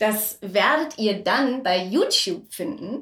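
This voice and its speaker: A woman is speaking. Her pitch is fairly high. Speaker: podcast host and voice actor. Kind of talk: casual chat. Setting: home kitchen.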